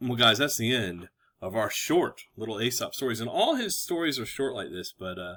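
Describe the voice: The text is read aloud plainly. Things are quiet in the background.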